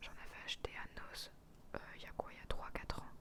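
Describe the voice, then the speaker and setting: A woman is whispering. Her pace is fairly slow. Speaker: ASMR creator. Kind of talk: ASMR haul talk to camera. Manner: whispered.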